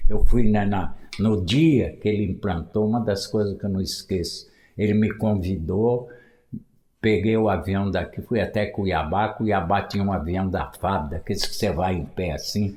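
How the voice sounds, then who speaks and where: A man speaks in a fairly low voice with a dark, mellow tone, somewhat breathy, at a moderate pace with ordinary pitch variation. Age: 80s+. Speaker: former mayor and local historian. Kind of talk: interview storytelling.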